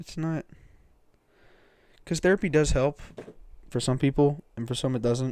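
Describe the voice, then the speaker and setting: A man mumbles in a dark, mellow tone at a fairly high pitch. His pace is moderate, with ordinary pitch variation and long, frequent pauses. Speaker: streamer. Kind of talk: casual chat. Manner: mumbling. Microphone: cheap mic on high sensitivity.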